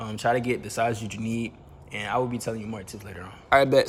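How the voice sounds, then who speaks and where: A man at a very fast pace with fairly even intonation. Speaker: clothing brand owner and fashion YouTuber. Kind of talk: tutorial. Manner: casual, slangy.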